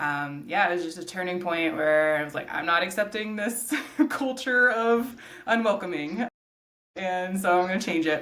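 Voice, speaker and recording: A woman with an American accent and lively intonation, with audible room echo. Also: medium pitch for a woman, moderate pace. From Georgia, US South. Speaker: nonprofit executive director and landscape designer. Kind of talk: interview conversation. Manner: casual, many filler words.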